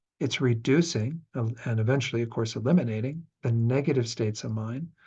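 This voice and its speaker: A man's dark, mellow, somewhat breathy voice. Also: quiet background. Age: 60s. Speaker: Buddhist teacher. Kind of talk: dharma class lecture. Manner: conversational, relaxed.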